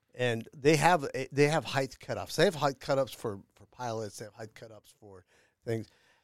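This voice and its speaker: Here a man with an unremarkable speaking voice talks at a medium pitch and moderate pace, with big swings in loudness. The recording is very clean, with a silent background. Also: ordinary pitch variation. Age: middle-aged. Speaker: podcast host. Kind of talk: casual chat. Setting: studio.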